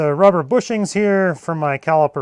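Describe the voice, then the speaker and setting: Loud, high-pitched speech from a man at a fairly slow pace, ordinary pitch variation, dry and close with no echo. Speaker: jeep repair youtuber. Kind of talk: live stream repair tutorial. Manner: loud, speaking up.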